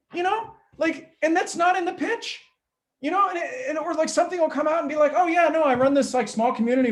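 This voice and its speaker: A man speaks loudly. His pace is very fast. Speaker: pitch coach. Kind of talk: workshop talk. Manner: high energy.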